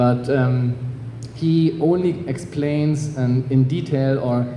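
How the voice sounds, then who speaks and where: A man speaks at a medium pitch with a German accent. There is audible room echo and noticeable background noise. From Germany. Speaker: author. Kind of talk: panel discussion. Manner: halting, many fillers.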